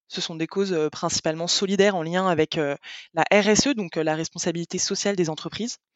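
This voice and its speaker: Speaking at a moderate pace, a woman uses an unremarkable speaking voice with ordinary pitch variation. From France, Paris and the Landes. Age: 20s. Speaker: customer success manager. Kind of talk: interview.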